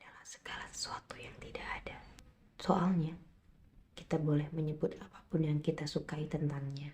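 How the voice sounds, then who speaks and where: With a very deep, low pitch and a dark, mellow tone, a woman speaks in a calm tone, somewhat breathy, with fairly even intonation and big swings in loudness. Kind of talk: slow poetry reading. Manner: whispered, soft, calm.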